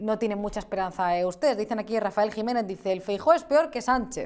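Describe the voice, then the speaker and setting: This woman talks at a very fast pace in a fairly high voice, her pitch moving in an ordinary way. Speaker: news show host. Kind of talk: political talk show.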